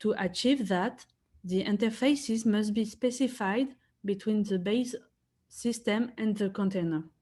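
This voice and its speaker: Somewhat breathy and dark, mellow in tone, the voice moves at a fairly slow pace with ordinary pitch variation and very even loudness. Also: woman, fairly high pitch for a woman. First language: not English. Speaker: software engineering consultant. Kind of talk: conference talk.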